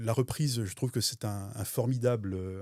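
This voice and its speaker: A man speaks at a medium pitch and fairly quick pace, with a dark, mellow tone, somewhat breathy, and ordinary pitch variation. The recording is very clean with a silent background and a dry, close sound with no echo. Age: 60s. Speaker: business owner. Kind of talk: interview testimony. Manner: hesitant, many fillers.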